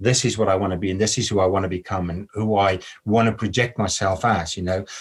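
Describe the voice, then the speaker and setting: A man's somewhat breathy, fairly low voice at a fairly quick pace, with ordinary pitch variation, on a very clean recording with a silent background. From South Africa. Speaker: model and actor, spiritual social media creator. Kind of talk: podcast interview conversation.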